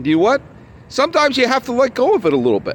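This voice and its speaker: A man shouts loudly, his pitch swinging very widely. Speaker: baseball podcast host. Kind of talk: solo podcast monologue. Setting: outdoors at a ballpark. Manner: loud, shouting.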